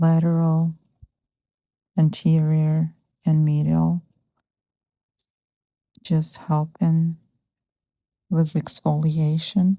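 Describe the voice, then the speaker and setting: A soft-spoken woman with a very deep, low voice talks at a very slow pace, leaving long, frequent pauses. Her intonation is monotone and flat, and her tone is calm. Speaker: massage therapist. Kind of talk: soft-spoken instructional narration. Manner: soft-spoken, calm.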